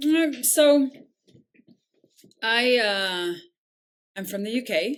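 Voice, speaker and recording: A woman with an American accent, very slow in pace, with lively intonation. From southern England. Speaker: nonprofit founder and CEO. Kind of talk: podcast interview. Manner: hesitant, many fillers.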